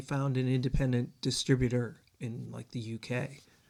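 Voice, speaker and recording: A man speaks at a fairly slow pace with an American accent. His voice sits at a medium pitch. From eastern Michigan (border town near Canada). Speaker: singer-songwriter. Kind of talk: interview.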